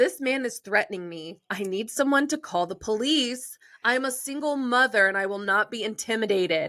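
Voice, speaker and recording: Using a shaky, put-on character voice at a fairly high pitch, a woman keeps a moderate pace with hardly any pauses, in a very clean recording with a silent background. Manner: overdramatic, on the verge of tears.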